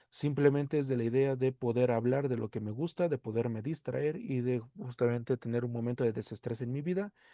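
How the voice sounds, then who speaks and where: With hardly any pauses, a man talks at a fairly quick pace at medium pitch with ordinary pitch variation. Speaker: podcast host. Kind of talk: solo podcast monologue. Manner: fast; casual.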